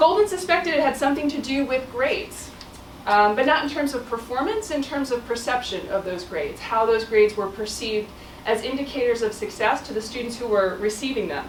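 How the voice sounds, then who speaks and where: Over noticeable background noise and audible room echo, a woman with a high pitch talks at a fairly quick pace with lively intonation. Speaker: professor. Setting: stage with audience. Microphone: no microphone.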